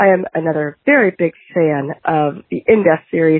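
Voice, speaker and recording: A woman with a plain, everyday voice speaks at a fairly slow pace with ordinary pitch variation. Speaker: caller leaving voicemail. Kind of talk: recorded voicemail message.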